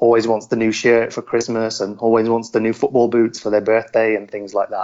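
Speaking with a West Midlands accent, a man talks at a medium pitch. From West Midlands, England (Shropshire, near Telford). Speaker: football journalist. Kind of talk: interview.

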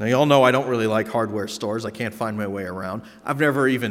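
A natural reading voice, its pitch rising and falling in an ordinary way

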